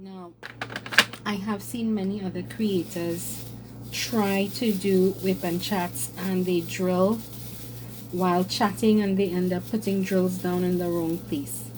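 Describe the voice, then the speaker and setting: Amid audible room echo and noticeable background noise, a woman talks at a very slow pace with ordinary pitch variation. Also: medium pitch for a woman. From Trinidad and Tobago. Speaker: craft content creator. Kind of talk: casual chat. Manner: hesitant with fillers.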